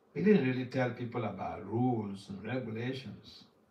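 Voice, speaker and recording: Audible room echo follows a man as he speaks. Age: 60s. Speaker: spiritual teacher giving a class. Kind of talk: religious lecture.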